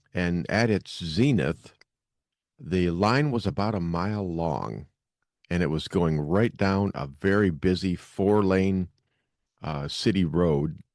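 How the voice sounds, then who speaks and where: Against a quiet background, a man with a very deep, low voice talks at a very slow pace with ordinary pitch variation. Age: 60s. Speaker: podcast host. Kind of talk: casual storytelling. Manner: conversational with filler words.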